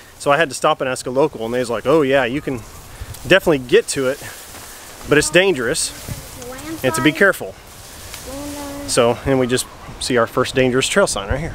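A man talking very fast, dry with no echo, over noticeable background noise. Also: ordinary pitch variation. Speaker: family travel vlogger. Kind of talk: casual vlog chat. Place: open country. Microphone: phone near.

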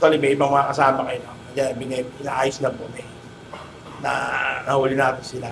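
A man's medium-pitched, flat, monotone voice at a fairly quick pace, with big swings in loudness and noticeable background noise. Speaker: police officer. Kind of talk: on-site interview. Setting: outdoors. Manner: formal.

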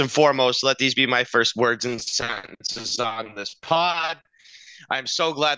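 A man speaks at a moderate pace with a bright, sharp tone and fairly even intonation, the sound dry with no echo and the background quiet. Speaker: podcast co-host. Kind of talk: sports podcast commentary. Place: home room. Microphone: headset.

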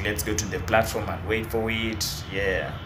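Noticeable background noise runs behind a man speaking at a moderate pace. His pitch is fairly low. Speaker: vlogger. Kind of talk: casual vlog chat. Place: station. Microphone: phone near.

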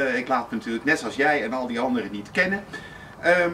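A man speaks over light background noise. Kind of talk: casual address to camera. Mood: cheerful, joking. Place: garden. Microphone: camera far.

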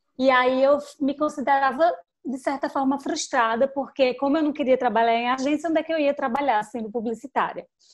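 At a fairly quick pace, a woman with a high pitch speaks in fairly even intonation over a quiet background. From Petrolina, Pernambuco, Brazil (São Francisco Valley); Pernambuco, Brazil. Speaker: digital marketing specialist; interviewee. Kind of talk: interview; interview answer. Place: home room. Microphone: video call.

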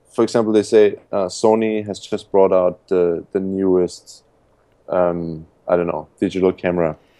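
A man with a German accent speaks at a moderate pace in a very deep, low voice with a dark, mellow tone. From Austria. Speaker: importing entrepreneur. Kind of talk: interview.

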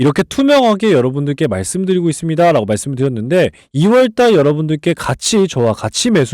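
In a very clean recording with a silent background and a dry, close sound with no echo, a man with fairly high pitch speaks at a fairly quick pace, his pitch swinging very widely. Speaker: stock market analyst and YouTuber. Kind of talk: sales-pitch style stock lecture. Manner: emphatic, repetitive, persuasive.

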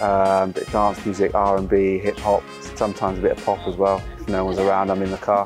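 A man's fairly low voice at a very fast pace, dry with no echo, over clear background music. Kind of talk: interview answer. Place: stadium. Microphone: lapel.

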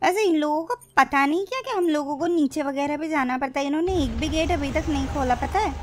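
A woman with a high pitch talks at a fairly quick pace with hardly any pauses over light background noise. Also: ordinary pitch variation. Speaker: gaming commentator. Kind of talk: casual gameplay commentary. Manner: excited.

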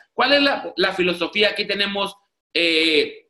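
The background is quiet behind a man's voice. Audible room echo surrounds it. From Mexico, Tijuana. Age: 30s. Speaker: network marketing presenter. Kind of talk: sales pitch. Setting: video call. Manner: animated. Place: home room. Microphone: video call.

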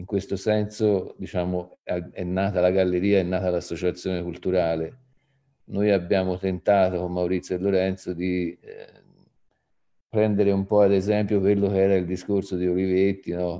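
A man's very deep, low voice at a moderate pace, monotone and flat, against a quiet background. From Tuscany, Italy (Poggibonsi); Tuscany. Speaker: arts association president; panelist. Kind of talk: panel talk. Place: home room. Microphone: video call.

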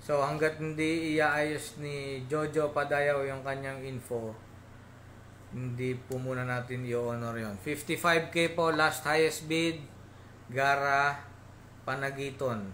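A man's fairly high voice at a very slow pace, with fairly even intonation and light background noise. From Philippines. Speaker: pigeon auctioneer. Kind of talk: live online auction. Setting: live stream. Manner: formal, polite. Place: home room.

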